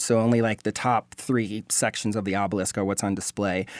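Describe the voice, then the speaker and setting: Talking at a fairly quick pace, a man is heard in a very clean recording with a silent background. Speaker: video journalist. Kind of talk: radio interview. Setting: radio studio. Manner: fast.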